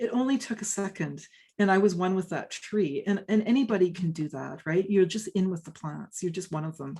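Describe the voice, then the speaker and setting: A woman's fairly quick, somewhat breathy voice in a Canadian accent, medium-pitched with ordinary pitch variation and a dark, mellow tone. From western Canada, British Columbia. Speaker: forest ecology professor and author. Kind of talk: interview Q&A. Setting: video call. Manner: casual, many hesitations and repeats.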